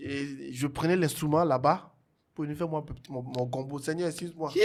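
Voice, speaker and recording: Speaking with an Ivorian accent, the voice keeps a moderate pace and fairly even intonation. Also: man, fairly high pitch for a man. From Togo. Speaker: singer and musician. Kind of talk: interview, telling his life story.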